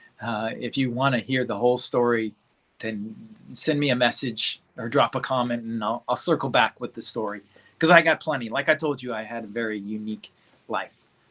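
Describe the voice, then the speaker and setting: Heard in a very clean recording with a silent background, a man with a slight Central Californian accent talks at a fairly quick pace in a medium pitch, his tone bright and sharp and his intonation fairly even. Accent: slight Bakersfield country twang. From Bakersfield, California. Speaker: life coach. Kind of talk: casual livestream talk.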